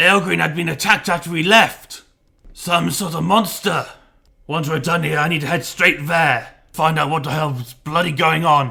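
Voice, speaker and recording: A man uses a raspy, put-on character voice pitched fairly high. He keeps a moderate pace with ordinary pitch variation. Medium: read story.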